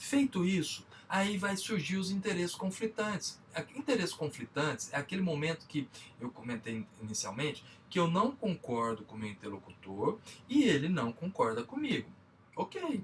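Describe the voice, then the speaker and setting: A fairly high-pitched man in a Minas Gerais accent, with very wide pitch swings, a moderate pace, and noticeable background noise. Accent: Minas Gerais (mineiro). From Minas Gerais, Brazil. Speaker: business trainer. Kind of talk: lecture.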